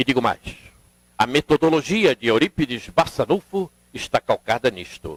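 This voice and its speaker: A man talks at a fairly slow pace with a medium pitch and very wide pitch swings. The sound is dry and close, with no echo. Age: 70s. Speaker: spiritist lecturer. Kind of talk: seminar lecture.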